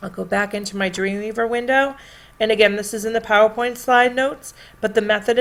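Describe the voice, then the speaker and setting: In a plain, everyday voice, a woman speaks at a fairly quick pace with fairly high pitch and fairly even intonation. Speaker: teacher. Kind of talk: tutorial.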